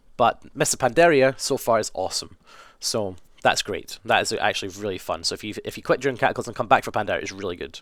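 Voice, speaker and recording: With a Scottish accent, a man talks at a very fast pace, his loudness swinging widely on a very clean recording with a silent background. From west coast of Scotland. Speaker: gaming video creator. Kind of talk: casual Q&A monologue. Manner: casual, hesitant with ums.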